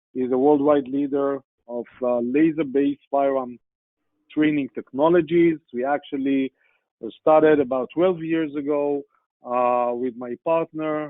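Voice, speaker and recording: Speaking at a fairly slow pace, a man uses fairly even intonation and a fairly high pitch. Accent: Israeli. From Israel. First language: Hebrew. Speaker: sales executive, guest speaker. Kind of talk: business presentation. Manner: hesitant, many fillers.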